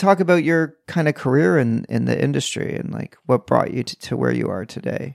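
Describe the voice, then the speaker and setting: Here a man speaks at a moderate pace. The sound is dry and close, with no echo. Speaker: podcast host. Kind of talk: casual chat.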